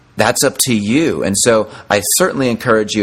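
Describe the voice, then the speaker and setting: A man's fairly low voice carries ordinary pitch variation. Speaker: parenting podcast host. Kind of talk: motivational monologue. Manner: hesitant, many fillers.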